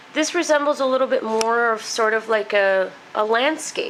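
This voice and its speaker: Noticeable background noise behind a fairly high-pitched female voice with ordinary pitch variation. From Mexico. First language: Spanish. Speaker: painter. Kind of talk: casual talk about own artwork. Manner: hesitant, many fillers.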